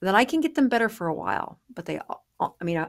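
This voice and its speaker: A woman talks with vocal fry. The background is quiet. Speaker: podcast guest. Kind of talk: interview answer. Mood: warm, animated. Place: office. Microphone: studio mic.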